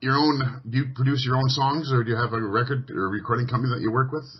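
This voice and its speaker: With a Canadian accent, a man talks at a fairly quick pace and medium pitch in an ordinary speaking voice. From Western Canada. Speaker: radio host. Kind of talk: radio interview.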